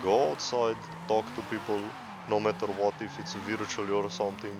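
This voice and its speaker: A man with a non-native accent, fairly low in pitch, at a moderate pace over noticeable background noise. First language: not English. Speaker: gaming YouTuber. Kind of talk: casual monologue over gameplay. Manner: halting, self-correcting.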